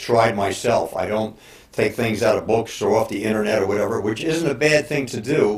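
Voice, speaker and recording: A man speaks with a fairly low pitch and ordinary pitch variation. Noticeable background noise runs behind him. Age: 60s. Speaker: bodybuilder and fitness trainer. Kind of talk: casual talk to camera. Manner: halting, many fillers.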